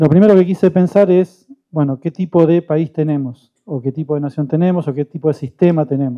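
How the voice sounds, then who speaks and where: In an ordinary speaking voice, a man talks at a fairly quick pace with hardly any pauses, his fairly high pitch showing ordinary variation. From southern Santa Fe, Argentina. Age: 50s. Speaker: panelist on communication. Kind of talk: panel talk.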